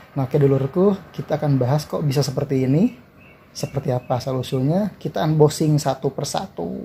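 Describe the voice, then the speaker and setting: A man with a strong West Javanese accent speaks at a fairly quick pace in a fairly high pitch, somewhat breathy and relaxed, with a dark, mellow tone and ordinary pitch variation. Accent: Sundanese accent in Indonesian, strong. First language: Sundanese (speaking Indonesian). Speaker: YouTuber. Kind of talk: casual vlog explainer. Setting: lying down at home. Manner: relaxed, casual.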